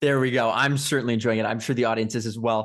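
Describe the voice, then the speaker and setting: With a quiet background behind him, a man talks at a very fast pace, his medium pitch held in fairly even intonation. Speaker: podcast host. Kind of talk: interview.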